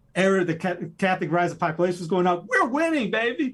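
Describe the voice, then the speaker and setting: At a very fast pace, a man talks in a high pitch with lively intonation. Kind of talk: casual chat. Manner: animated.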